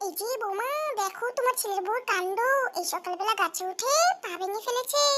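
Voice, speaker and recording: Putting on a squeaky character voice, a woman speaks at an extremely high pitch. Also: moderate pace. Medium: fan dub.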